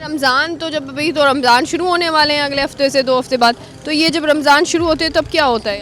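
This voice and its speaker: Noticeable background noise sits behind a woman whose high-pitched voice has fairly even intonation. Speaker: street reporter. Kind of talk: street interview questions.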